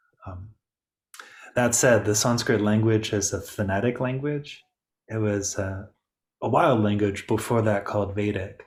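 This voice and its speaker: On a very clean recording with a silent background, a man speaks in a fairly low, somewhat breathy voice with fairly even intonation and long, frequent pauses. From Detroit, Michigan, US. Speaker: yoga teacher trainer. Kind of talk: info session Q&A.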